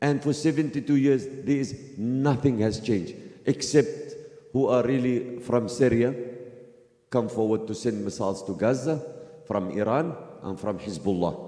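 At a fairly slow pace with an Arabic accent, the speaker uses ordinary pitch variation against a quiet background with audible room echo. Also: man. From Palestine. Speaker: activist. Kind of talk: speech. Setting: mosque. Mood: earnest, impassioned. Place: church.

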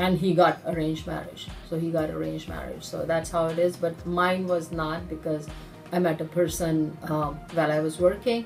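With faint music in the background, a woman speaks at a fairly low pitch. Her intonation is monotone and flat, and her pace is moderate. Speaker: interviewee. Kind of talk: interview answer. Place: office. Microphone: phone near.

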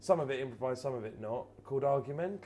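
Light background noise sits behind a man with a dark, mellow tone. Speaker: comedian, actor guest. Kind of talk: interview answer. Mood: relaxed, chatty, occasional laughs. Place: bar.

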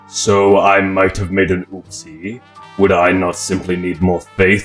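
Putting on a character voice, a man speaks fairly slowly in a very deep, low pitch with monotone, flat intonation as faint music plays in the background. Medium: fan dub. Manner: calm, smooth, condescending.

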